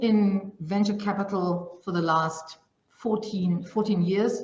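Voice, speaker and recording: With a German accent and ordinary pitch variation, the voice comes through audible room echo and noticeable background noise. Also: woman. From Germany. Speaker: venture capital investor. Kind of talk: panel discussion.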